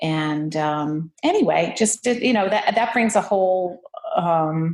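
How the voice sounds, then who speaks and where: A woman with a fairly low pitch speaks at a fairly slow pace. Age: 60s. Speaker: artist. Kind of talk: casual chat. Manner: halting, many fillers.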